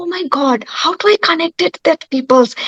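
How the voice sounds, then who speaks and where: A woman's extremely high-pitched voice with a Bengali accent, at a fairly slow pace. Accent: Bengali Indian English. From West Bengal, India. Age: young. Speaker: yoga instructor and actor. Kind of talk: panel talk. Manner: halting. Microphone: network problem.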